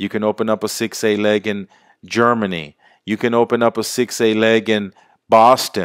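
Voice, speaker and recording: An animated man at medium pitch and moderate pace, in a very clean recording with a silent background and a dry, close sound with no echo. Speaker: sales presenter. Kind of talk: sales pitch.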